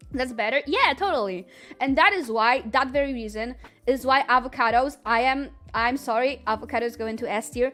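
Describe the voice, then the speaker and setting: A woman keeps a fairly quick pace while music plays in the background. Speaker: streamer. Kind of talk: casual chat. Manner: fast; animated.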